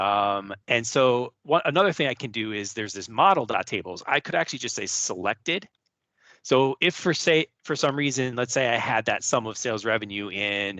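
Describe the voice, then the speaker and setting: Over a quiet background, a man with a medium pitch and a bright, sharp tone speaks with lively intonation in a dry, close sound with no echo. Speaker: data analytics presenter. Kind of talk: tutorial. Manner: fast.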